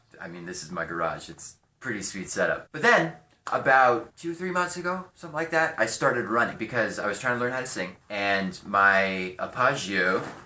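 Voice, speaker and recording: A man with an American accent talks at a moderate pace, his pitch swinging very widely and his loudness shifting greatly, with audible room echo. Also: medium pitch for a man. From California. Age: 20s. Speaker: vlogger and musician. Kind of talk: casual vlog monologue. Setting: home garage.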